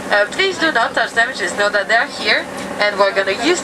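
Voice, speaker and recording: Amid noticeable background noise and audible room echo, a woman speaks with lively intonation in a French accent. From France. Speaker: whale watching tour guide. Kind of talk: safety briefing.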